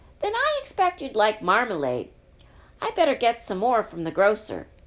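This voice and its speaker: A put-on character voice from a woman, pitched fairly high and delivered at a moderate pace. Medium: read story. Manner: brisk, fussy.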